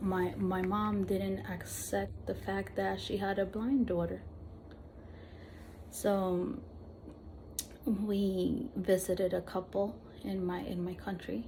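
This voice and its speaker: A woman with a Spanish accent speaks at a very slow pace, with long, frequent pauses. The room echo is audible. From Peru, Lima; later Argentina. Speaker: vlogger with visual impairment. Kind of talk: personal testimony. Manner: halting, frequent repetitions.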